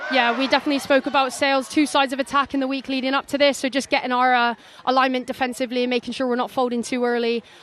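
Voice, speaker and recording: A woman with a high voice speaks at a very fast pace in a monotone, flat intonation, hardly pausing at all, with crowd noise in the background. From Bristol, England, then Alberta, Canada. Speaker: rugby player and co-commentator. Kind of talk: sports co-commentary.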